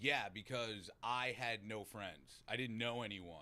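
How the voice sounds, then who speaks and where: An animated male voice with an American accent, fairly low in pitch, bright and sharp in tone, at a moderate pace with ordinary pitch variation. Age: 30s. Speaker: person in long-term recovery, podcast host. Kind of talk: casual chat.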